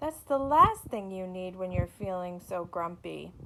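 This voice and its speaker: Using a put-on character voice with a gentle tone, a woman speaks at a medium pitch and a moderate pace. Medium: read story. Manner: friendly, gentle.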